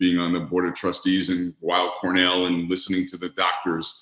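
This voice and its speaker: A man's very deep, low voice at a moderate pace. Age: 60s. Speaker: arbitrator and mediator. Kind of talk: interview.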